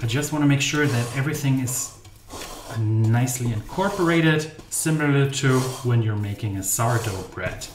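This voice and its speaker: A man with a German accent speaks at a medium pitch and moderate pace with ordinary pitch variation, amid audible room echo and noticeable background noise. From Germany. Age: 30s. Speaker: baking channel host. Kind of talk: live stream baking tutorial. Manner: casual, chatty.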